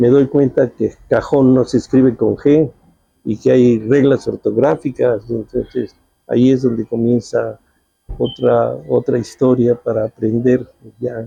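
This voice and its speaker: At a fairly slow pace, a man speaks in a medium pitch with a dark, mellow, somewhat breathy tone and fairly even intonation. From Mexico City. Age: 70s. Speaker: journalist. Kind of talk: interview.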